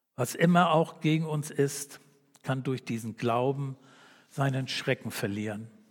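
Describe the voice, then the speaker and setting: A man with an ordinary speaking voice talks at a fairly slow pace and fairly high pitch, with ordinary pitch variation. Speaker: preacher. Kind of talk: sermon in a church service, calm and earnest, closing with a read-out prayer and amen. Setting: church. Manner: earnest, warm and measured, pastoral and conversational.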